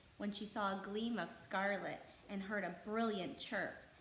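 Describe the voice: With audible room echo, a woman of medium pitch speaks at a moderate pace.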